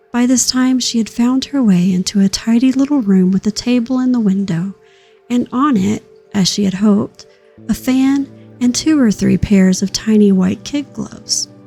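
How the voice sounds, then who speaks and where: Music plays behind a woman speaking at a fairly high pitch and a moderate pace. Her loudness stays very even, and her pitch varies in an ordinary way. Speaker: sleepcast reader. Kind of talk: audiobook-style read-aloud of a children's classic.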